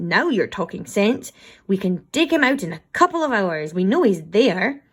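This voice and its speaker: Putting on a character voice, a woman speaks at a moderate pace, her medium pitch making very wide swings. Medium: read story. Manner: gruff.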